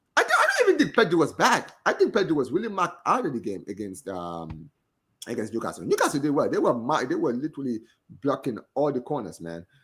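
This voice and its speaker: A man with a Gambian accent talks at a very fast pace. The recording is very clean, with a silent background. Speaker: football podcast host. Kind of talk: casual chat.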